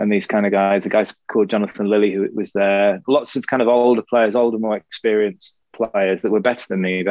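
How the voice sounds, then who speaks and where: A man speaks at a fairly quick pace with an English accent. His intonation stays monotone and flat. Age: 40s. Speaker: former professional squash player. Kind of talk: casual chat.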